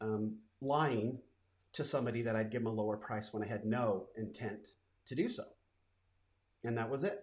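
Music plays in the background. A man speaks with long, frequent pauses. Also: medium pitch for a man, moderate pace. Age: 50s. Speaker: entrepreneur and podcast host. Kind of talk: personal storytelling monologue. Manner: casual, with frequent fillers.

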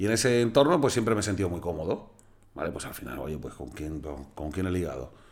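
Vocal fry runs through fairly quick speech with very wide pitch swings and big swings in loudness. Room echo is audible. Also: man, very deep, low pitch for a man. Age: 30s. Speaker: musician and concert promoter. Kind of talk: casual chat.

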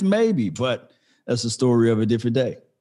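A man's lively intonation at a moderate pace. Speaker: sports podcaster guest. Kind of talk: casual chat. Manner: halting.

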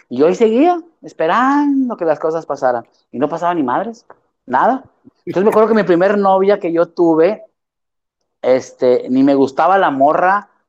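A man with a Mexican accent talks in a high pitch with very wide pitch swings. His pace is moderate, broken by long, frequent pauses. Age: 40s. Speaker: theatre actor and director. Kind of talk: casual interview chat.

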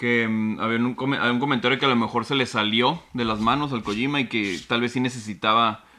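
Speaking at a moderate pace, a man with a normal speaking voice keeps a medium pitch and fairly even intonation. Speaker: podcast co-host. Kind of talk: casual chat.

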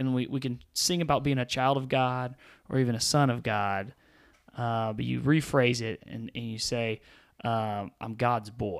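A man speaks at a medium pitch with fairly even intonation, a normal speaking voice. The recording is very clean, with a silent background. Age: 30s. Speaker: podcast host and youth ministry staff. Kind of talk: casual chat.

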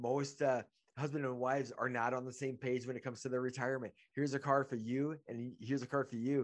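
Against a quiet background, the speaker races along at a very fast pace in a monotone, flat delivery. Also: man, medium pitch for a man. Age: 50s. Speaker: podcast host and business networking group organizer. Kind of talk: casual chat. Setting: video call.

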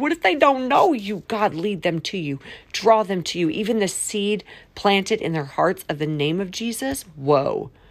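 Medium in pitch with very wide pitch swings, a woman speaks at a moderate pace. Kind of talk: devotional monologue with prayer. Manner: switches into different accents.

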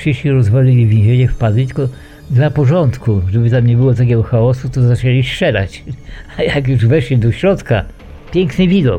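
With music in the background, a man talks at a moderate pace in a medium pitch with ordinary pitch variation. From Poland, Eastern Borderlands. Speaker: war veteran. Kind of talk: testimony.

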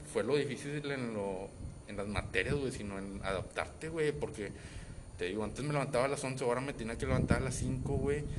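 Lively in intonation and medium in pitch, a man speaks with a Mexican accent amid audible room echo and noticeable background noise. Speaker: podcast co-host. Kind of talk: casual chat.

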